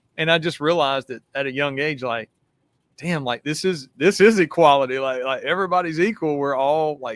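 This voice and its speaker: A man with a Southern US accent talks at a fairly quick pace and a fairly high pitch. His pitch variation is ordinary, and the sound is dry and close with no echo. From US South. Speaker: retired police detective. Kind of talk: podcast interview. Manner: casual, animated.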